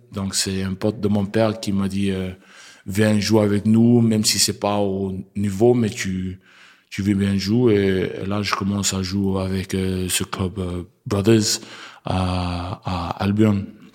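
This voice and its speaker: Very slow and monotone, a man speaks at a fairly low pitch in a very clean recording with a silent background. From Australia. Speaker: rugby player. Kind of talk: interview. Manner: halting.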